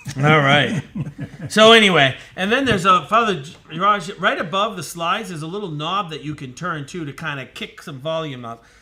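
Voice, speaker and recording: This man talks at a fairly quick clip in a high voice, his intonation lively and his loudness swinging widely. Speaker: priest. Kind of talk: casual chat. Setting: live online broadcast.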